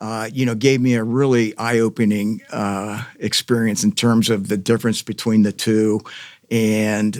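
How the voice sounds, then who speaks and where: A man's medium-pitched voice with an American accent and monotone, flat intonation, in a very clean recording with a silent background and a dry, close sound with no echo. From US Midwest, Columbus, Ohio. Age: 60s. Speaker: former mayoral candidate, community advocate. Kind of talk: podcast interview. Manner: halting, many fillers.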